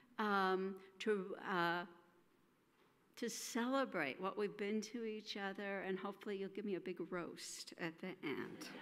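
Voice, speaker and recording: A woman with a medium pitch talks at a fairly slow pace, her pitch varying in an ordinary way. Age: 60s. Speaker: minister. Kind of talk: speech. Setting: congregational meeting in church. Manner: halting.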